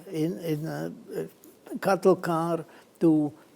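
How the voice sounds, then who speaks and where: A man with a non-native accent talks at a fairly high pitch. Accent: foreign. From Czechoslovakia/Hungary border, Danube region. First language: Hungarian. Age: 90s. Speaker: Holocaust survivor, columnist. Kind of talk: testimony. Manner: halting, many fillers.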